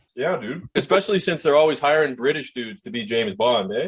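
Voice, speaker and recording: Somewhat breathy and very fast, a man with a Canadian accent speaks at a fairly high pitch with lively intonation. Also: big swings in loudness. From Canada. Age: 20s. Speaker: podcast host and dating coach. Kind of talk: casual interview chat.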